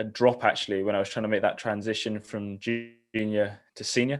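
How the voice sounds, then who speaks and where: With a southern English accent, a man speaks in a fairly low, monotone, flat voice at a moderate pace on a very clean recording with a silent background. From southern England, Eastbourne. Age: 20s. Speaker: triathlete. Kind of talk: interview.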